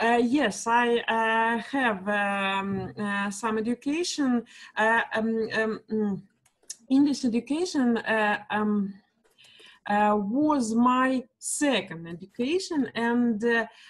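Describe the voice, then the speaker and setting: A somewhat breathy woman with a Russian accent, fairly high in pitch, at a very slow pace with ordinary pitch variation. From Russia, small town between Moscow and Saint Petersburg. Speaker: kindergarten English teacher, student. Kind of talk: language lesson conversation. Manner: halting, many fillers.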